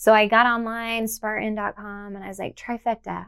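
Fairly high, bright and sharp female voice, dry and close with no echo. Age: 40s. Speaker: elite obstacle racer and personal trainer. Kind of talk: interview.

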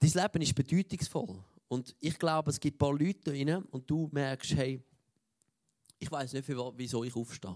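With a dry, close sound and no echo, a man at a fairly high pitch talks at a moderate pace with ordinary pitch variation. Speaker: preacher. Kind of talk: sermon. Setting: church.

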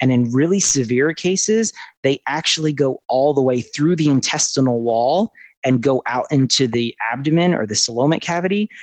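This man has an unremarkable speaking voice with an American accent. His medium pitch shows ordinary variation at a moderate pace. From US Northeast, southern New Jersey. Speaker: amphibian pathologist. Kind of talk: interview.

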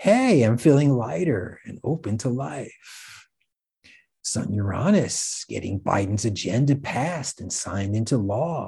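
A man speaks at a fairly slow pace in a dark, mellow tone, somewhat breathy. His intonation is lively over a quiet background. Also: medium pitch for a man. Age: 60s. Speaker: astrologer podcast host. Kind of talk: scripted monologue.

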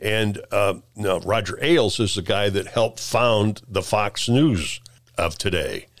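Someone with a Midwestern US accent speaks at a fairly slow pace and very even loudness, in a very clean recording with a silent background. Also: man, fairly low pitch for a man, ordinary pitch variation. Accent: US Midwest. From central Illinois (Peoria). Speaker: retired TV director. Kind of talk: casual interview. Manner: halting.

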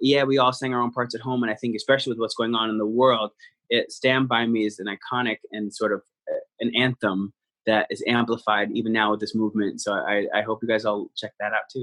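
A man speaks at a fairly quick pace with a New Jersey accent. His medium-pitched voice stays monotone, with flat intonation. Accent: American (New Jersey). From New Jersey, US. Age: young. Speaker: Broadway actor. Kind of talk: interview, casual chat.

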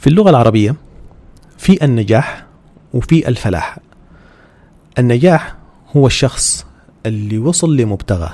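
Medium pitch from a man with a Sudanese accent, very wide pitch swings and a fairly slow pace. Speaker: podcast host. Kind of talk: religious talk.

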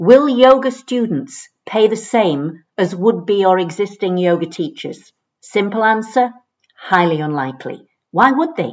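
A woman speaks in a medium-pitched voice at a fairly slow pace. Her pitch swings very widely. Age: 60s. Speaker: yoga teacher and business coach. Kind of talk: solo podcast monologue, coaching advice; promotional pitch.

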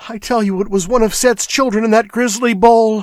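In a put-on character voice, a man speaks at an extremely high pitch that is shrill. He keeps a moderate pace. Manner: fearful, shaky, rising to hysteria.

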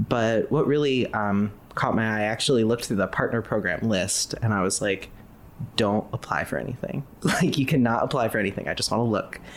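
With an American accent, a man talks at a fairly quick pace in an ordinary speaking voice, medium in pitch and with ordinary pitch variation. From US Midwest, Ohio. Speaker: graphic designer. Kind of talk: casual interview.

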